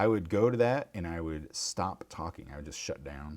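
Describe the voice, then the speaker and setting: A man with a Midwestern accent speaks with vocal fry. His pitch swings very widely. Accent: Midwest. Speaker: craft livestreamer. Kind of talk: casual chat while crafting on livestream.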